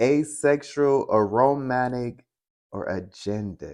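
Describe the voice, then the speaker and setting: Pitched at a medium level, a man's voice moves at a very slow pace. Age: 30s. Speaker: podcast co-host. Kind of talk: casual chat.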